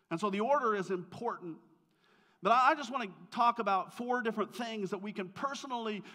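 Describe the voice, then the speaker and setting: A raised, projected voice with a bright, sharp tone, an American accent and a moderate pace. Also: man. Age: 50s. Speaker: pastor. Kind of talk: sermon. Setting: church.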